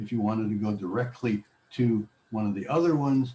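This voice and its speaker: An ordinary speaking voice, fairly low in pitch, comes from a man talking at a moderate pace. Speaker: technology class instructor. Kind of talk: tutorial.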